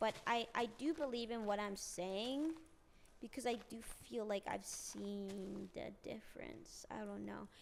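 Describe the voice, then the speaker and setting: An ordinary speaking voice, this woman of medium pitch talks at a fairly slow pace with ordinary pitch variation. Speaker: streamer. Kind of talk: casual chat.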